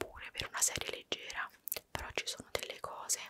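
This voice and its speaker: A whispering woman, dry sound with no echo, loud background noise. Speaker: ASMR creator. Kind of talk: casual vlog chat. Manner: intimate close-mic ASMR whisper.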